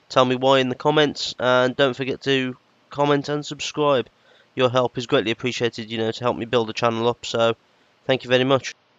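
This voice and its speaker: In a British accent, a man talks with fairly even intonation. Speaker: gaming YouTuber. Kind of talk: gameplay commentary. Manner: hesitant, lots of fillers.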